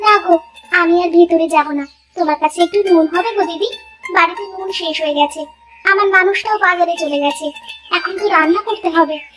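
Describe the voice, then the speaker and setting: Doing a cartoonish character voice at an extremely high pitch, a woman speaks at a moderate pace with fairly even intonation while music plays in the background. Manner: brisk, scolding.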